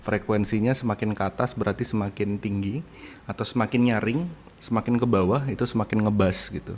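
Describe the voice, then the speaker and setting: Moderately paced male speech, fairly low in pitch and fairly even in intonation. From Indonesia. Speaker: university lecturer. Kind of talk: lecture. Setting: recorded online lecture from home. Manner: hesitant, with fillers.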